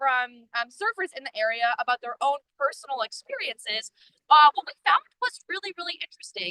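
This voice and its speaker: Speaking in a raised, projected voice, a woman with a high pitch and a bright, sharp tone uses lively intonation at a moderate pace, the sound dry and close with no echo. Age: 20s. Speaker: student volunteer researcher. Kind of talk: live-stream field presentation. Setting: outdoors on the coast.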